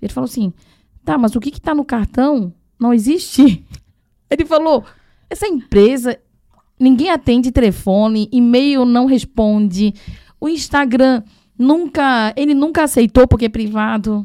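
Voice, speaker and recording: The tone is dark and mellow, with lively intonation. Delivery is fairly slow, broken by long, frequent pauses. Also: woman, high pitch for a woman. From Taiwan. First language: Chinese (speaking Portuguese). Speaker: sourcing agent and translator. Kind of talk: casual chat.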